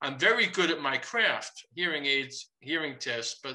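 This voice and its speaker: With ordinary pitch variation, the man talks in a plain, everyday voice and keeps a fairly slow pace. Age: 60s. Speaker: psychologist presenter. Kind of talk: lecture; Q&A discussion.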